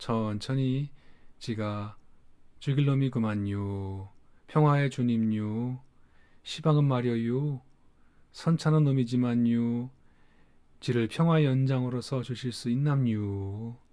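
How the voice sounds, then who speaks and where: A man puts on a drawling character voice at a medium pitch and a fairly slow pace. Long pauses come often against a quiet background. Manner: slow, drawling, with dialect sentence endings.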